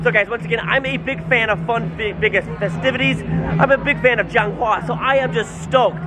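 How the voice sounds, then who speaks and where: A man talks at a fairly quick pace with hardly any pauses. Clear music plays in the background. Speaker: travel vlogger. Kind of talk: casual vlog chat. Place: street. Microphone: phone near.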